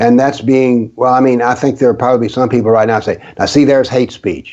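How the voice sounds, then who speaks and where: A man's dark, mellow tone with a Southern US accent, fairly even intonation, and a moderate pace. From US South, rural. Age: 70s. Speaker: author on political Islam, former professor. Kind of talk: interview.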